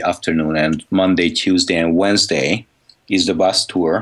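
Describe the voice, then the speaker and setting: At a moderate pace, a man talks with a Hungarian accent. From Hungary. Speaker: conference organizer. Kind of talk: interview.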